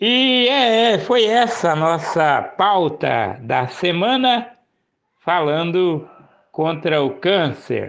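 A man speaks very slowly in a high pitch, his pitch swinging very widely while his loudness stays very even. Audible room echo is present. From Paraná, Brazil (Maringá). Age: 50s. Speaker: local news presenter. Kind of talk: news commentary show.

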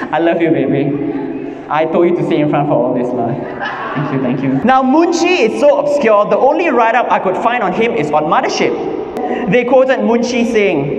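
A man at a fairly quick pace, very wide pitch swings, audible room echo around him. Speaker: stand-up comedian. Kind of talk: stand-up comedy. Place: hall. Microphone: handheld.

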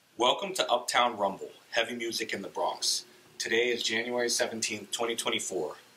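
There is noticeable background noise behind a man at a medium pitch. He talks at a fairly quick pace with ordinary pitch variation. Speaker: historical society director and interviewer. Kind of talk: oral history interviewer.

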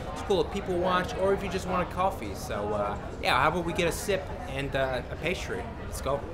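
Clear music plays in the background as someone with an American accent speaks. The pace is fairly quick and the pitch swings very widely. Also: man, high pitch for a man. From New York City, Greenwich Village; New York City. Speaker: tour guide. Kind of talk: walking tour vlog. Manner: casual. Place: street.

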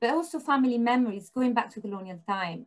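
Somewhat breathy, a woman's voice shows ordinary pitch variation. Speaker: researcher. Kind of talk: panel discussion. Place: home room. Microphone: video call.

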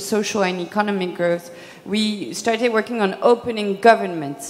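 Fairly even intonation from a woman at a moderate pace. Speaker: panelist. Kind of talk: panel self-introduction. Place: stage. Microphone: handheld.

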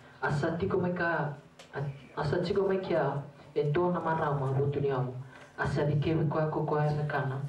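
A man talks at a fairly quick pace. There is audible room echo and light background noise. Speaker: scripture reader. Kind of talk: reading aloud. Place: church.

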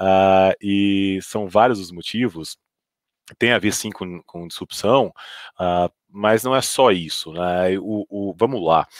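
At a very slow pace, a man with a fairly low pitch and fairly even intonation speaks with big swings in loudness, in a dry sound with no echo against a quiet background. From Brazil, Goiânia; Brazil. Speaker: fund manager; panelist. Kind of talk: panel discussion. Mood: relaxed, anecdotal. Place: office. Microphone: headset.

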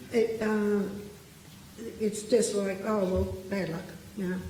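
A woman with an Australian accent and a fairly high pitch speaks at a moderate pace with fairly even intonation, amid noticeable background noise and audible room echo. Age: 70s. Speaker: local resident giving evidence at a public hearing. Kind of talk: public testimony. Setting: parliamentary committee hearing.

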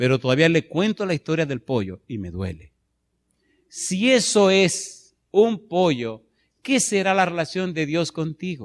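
This man's voice is high-pitched and animated. His pitch swings very widely. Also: fairly slow pace. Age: 50s. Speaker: pastor. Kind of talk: sermon. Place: church. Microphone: handheld.

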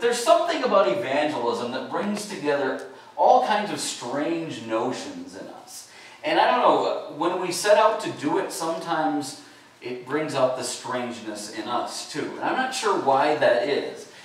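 Over strong room echo, a man talks at a moderate pace with very wide pitch swings and big swings in loudness. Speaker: pastor. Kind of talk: sermon. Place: church.

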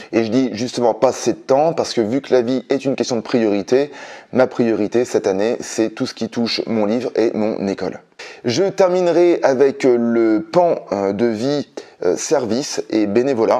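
Over a quiet background, a man with a dark, mellow tone and medium pitch speaks at a fairly slow pace with ordinary pitch variation. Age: 40s. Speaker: independent business trainer and consultant; independent business trainer. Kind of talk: vlog monologue to camera. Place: home room.

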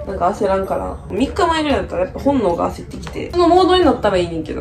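Clear music plays in the background as a woman talks at a very fast pace. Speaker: medical student vlogger. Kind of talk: casual vlog chat. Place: home room. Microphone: phone near.

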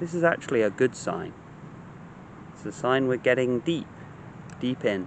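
A man's soothing tone with lively intonation and long, frequent pauses, dry with no echo, over light background noise. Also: medium pitch for a man. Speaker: meditation teacher. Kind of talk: guided meditation, gentle spoken instruction to a listener. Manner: slow, soothing, compassionate cadence with repeated calming phrases; hesitant in places, repeating words mid-thought. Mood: calm, gentle, soothing. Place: garden. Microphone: phone near.

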